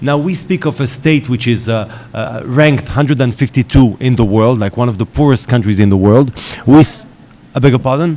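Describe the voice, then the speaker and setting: With an Israeli accent, a man speaks at a fairly quick pace with ordinary pitch variation over noticeable background noise. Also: medium pitch for a man. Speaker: panel moderator, journalist. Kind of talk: panel moderation. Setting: conference stage with audience. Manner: hesitant, many fillers.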